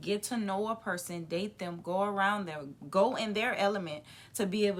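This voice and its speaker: A woman's voice at medium pitch. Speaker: podcast co-host. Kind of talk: casual chat. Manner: loud when comfortable; animated.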